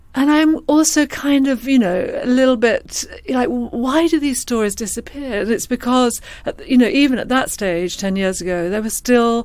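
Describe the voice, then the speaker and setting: With an English accent, a woman talks at a fairly quick pace using lively intonation. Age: 50s. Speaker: screenwriter and novelist. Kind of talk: interview. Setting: podcast. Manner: halting, many fillers.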